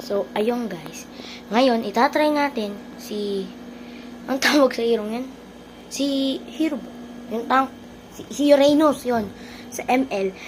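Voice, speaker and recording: Against noticeable background noise, a high-pitched woman talks at a very slow pace with long, frequent pauses and ordinary pitch variation. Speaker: gaming streamer. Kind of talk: gameplay commentary. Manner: soft-spoken. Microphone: no external mic, quiet audio.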